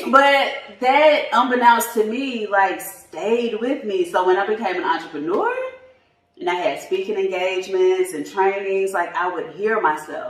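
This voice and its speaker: A woman with a Southern US accent at medium pitch, fairly slow and with lively intonation, in audible room echo. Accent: Southern twang. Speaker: tax business coach. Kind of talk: podcast interview. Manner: casual, informal speech with fillers.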